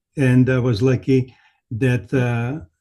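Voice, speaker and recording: A man talks at a medium pitch, somewhat breathy, his tone dark and mellow. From Lithuania. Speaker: immigrant author. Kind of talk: interview answer.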